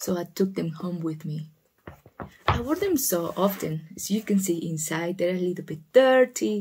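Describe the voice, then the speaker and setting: This is a woman speaking. Her voice is somewhat breathy. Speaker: shoe-story ASMR channel host. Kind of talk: ASMR storytelling, casual talk to camera. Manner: soft-spoken, relaxing.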